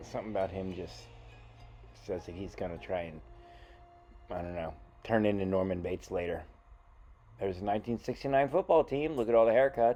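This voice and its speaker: A man's very deep, low voice over background music, with lively intonation, big swings in loudness, a fairly quick pace and long, frequent pauses. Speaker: magician vlogger. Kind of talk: casual vlog narration. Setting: indoors in an antique shop.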